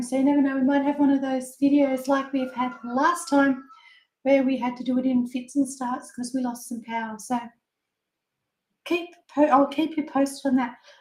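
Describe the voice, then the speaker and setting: A speaker with an Australian accent talks in a flat, monotone way, stopping often for long pauses. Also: woman, high pitch for a woman, moderate pace. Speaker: papercraft product demonstrator. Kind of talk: casual live craft demonstration.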